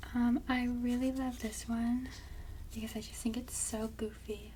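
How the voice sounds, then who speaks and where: A soft-spoken woman talks in a relaxed tone. There is noticeable background noise. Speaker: ASMR content creator. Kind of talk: casual talk to camera. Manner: soft-spoken, relaxed.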